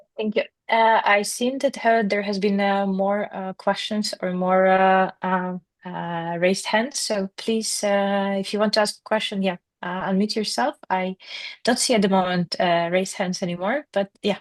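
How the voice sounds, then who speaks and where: Speaking in a Ukrainian accent, a woman uses a medium pitch and fairly even intonation at a moderate pace. The background is quiet, and the sound is dry and close with no echo. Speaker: workshop moderator. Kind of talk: online workshop moderation. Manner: halting, many fillers.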